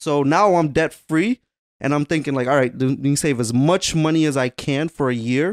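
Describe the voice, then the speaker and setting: An unremarkable speaking voice belongs to a man with an American accent who talks at a moderate pace with a fairly high pitch, ordinary pitch variation and very even loudness, in a dry, close sound with no echo. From Waterbury, Connecticut. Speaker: podcast co-host. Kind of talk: casual chat.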